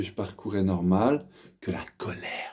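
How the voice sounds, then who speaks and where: His tone dark and mellow, a man speaks with fairly even intonation. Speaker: vlogger sharing spiritual awakening. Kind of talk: personal testimony monologue. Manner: halting, repetitive; keeping voice down.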